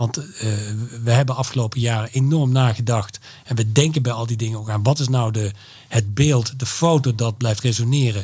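Somewhat breathy and dark, mellow in tone, a man of medium pitch talks at a fairly quick pace with fairly even intonation. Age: 50s. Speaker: creative events entrepreneur. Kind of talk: interview. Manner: hesitant, many filler sounds.

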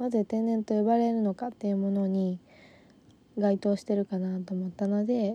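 Flat, monotone delivery from a woman at medium pitch, dark and mellow, gentle in tone. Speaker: podcast co-host. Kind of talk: solo monologue. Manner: slow; gentle, mellow.

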